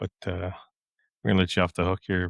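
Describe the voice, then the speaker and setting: This man has a very deep, low pitch. The recording is very clean, with a silent background. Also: dry, close sound with no echo. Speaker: podcast host. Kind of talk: casual interview. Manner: halting, many fillers.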